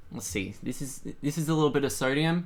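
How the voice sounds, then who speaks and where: Speaking in a bright, sharp tone at a medium pitch, a man talks with an American accent. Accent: sounds quite American for an Australian. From Australia. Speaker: streamer doing chemistry experiments. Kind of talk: casual live stream chat. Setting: home lab room.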